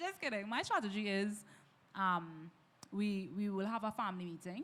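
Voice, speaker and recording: Speaking in an animated tone, a woman shows ordinary pitch variation. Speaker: minister. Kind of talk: casual panel discussion. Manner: loud.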